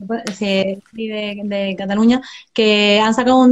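Fairly even in intonation, a woman speaks at a fairly high pitch. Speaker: book blogger. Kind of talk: casual chat. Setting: live video call. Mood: relaxed, friendly. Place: home room. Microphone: phone; video call.

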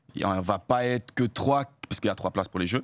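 The man talks at a fairly quick pace, and the sound is dry with no echo. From Australia. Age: 20s. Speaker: hurdler; guest. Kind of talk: casual chat. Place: studio. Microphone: studio mic.

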